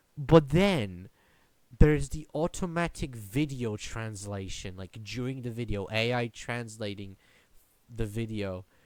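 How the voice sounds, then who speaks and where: In a Polish accent, a man speaks at a fairly slow pace with lively intonation and big swings in loudness, on a very clean recording with a silent background. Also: medium pitch for a man. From Poland. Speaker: YouTuber podcaster. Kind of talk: solo podcast rant. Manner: halting, many repetitions.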